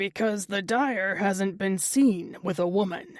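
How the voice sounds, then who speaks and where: Growling in a put-on character voice, a woman speaks at a fairly slow pace, medium in pitch, raspy and gravelly. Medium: read story. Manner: sly, cryptic.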